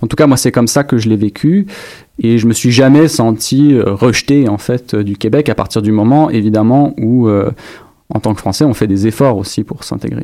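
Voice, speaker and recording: This man has a dark, mellow tone at a medium pitch. He talks at a moderate pace with ordinary pitch variation. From France, Dijon (Burgundy). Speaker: doctoral student and lecturer. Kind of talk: interview.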